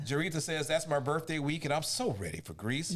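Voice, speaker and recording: A man speaks fairly quickly, with noticeable noise in the background. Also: fairly high pitch for a man, ordinary pitch variation. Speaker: show host reading out audience comments. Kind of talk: casual, colloquial.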